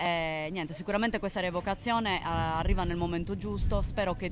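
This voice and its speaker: Music in the background behind a woman talking fairly quickly, her voice fairly low and her intonation fairly even. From Sardinia, Villacidro (Medio Campidano). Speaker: activist, committee spokesperson. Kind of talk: live broadcast interview. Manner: halting, many fillers.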